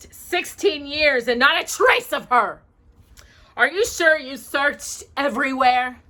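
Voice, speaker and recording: A woman's high-pitched put-on character voice, fairly slow and hissing. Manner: hissing, furious.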